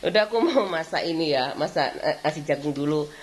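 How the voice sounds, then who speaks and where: Noticeable background noise sits behind a woman's voice. She speaks with a strong Javanese accent and very wide pitch swings. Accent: thick Javanese. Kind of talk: casual.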